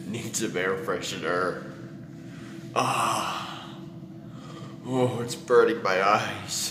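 This man talks at a very slow pace in a fairly low pitch, with ordinary pitch variation and audible echo in the room.

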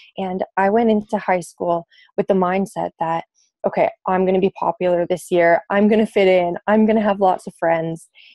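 A woman with a Canadian accent talks at a moderate pace, her loudness very even and her intonation fairly even. The background is quiet and the sound is dry with no echo. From Canada (British Columbia, Manitoba). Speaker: singer-songwriter; interviewee. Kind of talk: personal testimony. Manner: hesitant with fillers. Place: home room. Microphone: earbuds.

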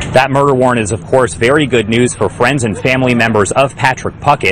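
A man talks at a very fast pace with ordinary pitch variation. The sound is dry with no echo, with light background noise. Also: medium pitch for a man. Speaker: TV news reporter. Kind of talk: TV news reporter delivery. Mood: somber, measured. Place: open country. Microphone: handheld.

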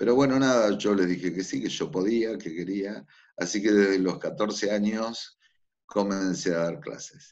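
Against a quiet background, a man speaks. His pitch is fairly low, with ordinary pitch variation. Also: fairly slow pace. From Buenos Aires, Argentina; Argentina. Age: 50s. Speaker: figure skating coach. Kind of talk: interview. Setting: remote call. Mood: calm, reflective. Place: home room. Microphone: video call.

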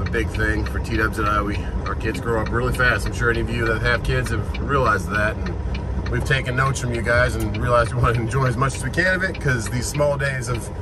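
At a very fast pace with hardly any pauses, a man speaks in a dry sound with no echo amid noticeable background noise. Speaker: truck driver vlogger. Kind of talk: casual vlog chat. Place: car. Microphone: phone near.

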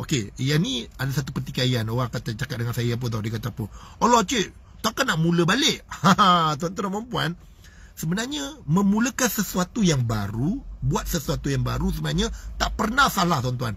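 A man's animated, fairly high voice with very wide pitch swings, a fairly quick pace, vocal fry, and a dry sound with no echo. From Malaysia. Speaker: motivational speaker and business coach; motivational speaker, business coach. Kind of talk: live-stream motivational talk. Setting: Facebook live stream. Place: car. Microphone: phone near.

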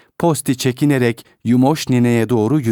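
This is a natural reading voice. The words come through in a natural reading voice throughout.

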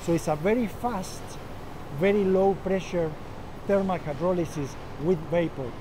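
Over noticeable background noise, a man talks in a high-pitched voice. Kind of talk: interview answer. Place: factory. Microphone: lapel.

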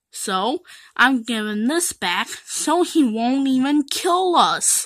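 This cartoonish character voice has a bright, sharp tone. It moves slowly with big pitch swings.

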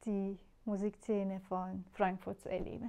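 Her tone dark and mellow, a woman speaks at a medium pitch in a monotone, flat delivery over a quiet background. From Iran. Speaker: composer. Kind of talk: interview. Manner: hesitant, many filler sounds. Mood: warm, smiling. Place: home room. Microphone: lapel.

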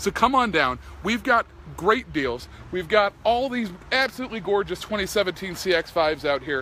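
A man speaks in a raised, projected voice, high in pitch, with very wide pitch swings and an animated, upbeat tone. The sound is dry with no echo, over light background noise. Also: moderate pace. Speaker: car salesman. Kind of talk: dealership sales pitch, live Facebook video walkaround. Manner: animated, chatty, pushy upbeat pitchman; self-deprecating, jokey, rambling. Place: street. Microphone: phone near.

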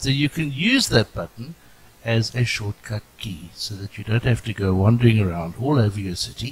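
A man speaks with a South African accent and ordinary pitch variation. Noticeable background noise runs behind him. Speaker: game tutorial narrator. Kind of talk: casual game tutorial narration.

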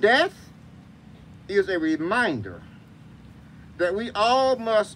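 Light background noise accompanies speech at a very slow pace. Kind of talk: graveside sermon with scripture reading. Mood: solemn, measured. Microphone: camera far.

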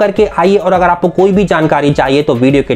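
Moderate pace and ordinary pitch variation from a male speaker. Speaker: travel channel host. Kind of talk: promotional vlog intro. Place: home room.

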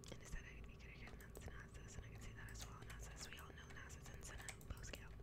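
Soft-spoken and whispering, the voice moves at a very fast pace. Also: woman. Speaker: ASMR streamer / gamer; ASMR streamer, gamer. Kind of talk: ASMR gameplay commentary. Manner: whispered, soft. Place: home room. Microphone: studio mic.

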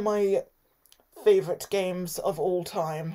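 A woman talks at a very slow pace, and the background is quiet. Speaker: channel host. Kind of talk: casual vlog chat. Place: home room. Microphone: phone near.

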